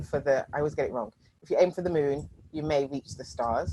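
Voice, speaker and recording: A woman with a very deep, low voice at a fairly quick pace. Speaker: strategy and innovation coach. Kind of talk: workshop presentation.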